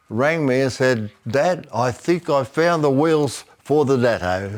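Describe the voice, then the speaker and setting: Very slowly and at very even loudness, a man with an Australian accent speaks at a medium pitch. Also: ordinary pitch variation. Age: 80s+. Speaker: classic car owner. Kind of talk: casual interview. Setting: garage. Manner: halting.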